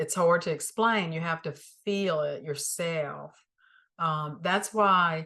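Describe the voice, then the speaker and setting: A woman with a Southern US accent speaks at a very slow pace. Her fairly low voice has a bright, sharp tone over a quiet background. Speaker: spiritual teacher. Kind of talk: spiritual teaching talk. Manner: calm, reflective.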